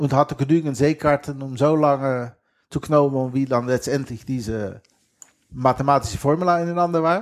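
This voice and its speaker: His pitch is fairly high and shows ordinary pitch variation. The man leaves long, frequent pauses. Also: moderate pace, very clean recording, silent background. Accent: Dutch. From western Netherlands. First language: Dutch (speaking German). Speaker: geocacher and sailor. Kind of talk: casual interview.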